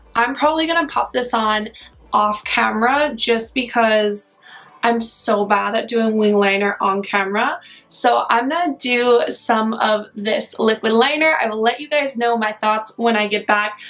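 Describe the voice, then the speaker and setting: A woman with a fairly high voice talks at a moderate speed, her pitch shifting in an ordinary way, as noticeable background noise plays behind her. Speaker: beauty vlogger. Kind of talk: makeup tutorial. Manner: casual, chatty.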